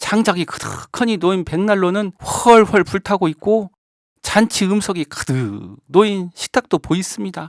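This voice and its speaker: Fairly slow pace on a very clean recording with a silent background. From Jeonju, North Jeolla, Korea. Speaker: non-professional local volunteer narrator. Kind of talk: fairy tale narration.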